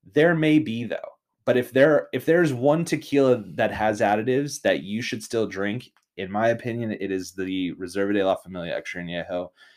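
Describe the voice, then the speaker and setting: Here a man speaks in a normal speaking voice at medium pitch. His pace is moderate and his intonation lively. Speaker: podcast host. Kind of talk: casual chat. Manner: joking banter.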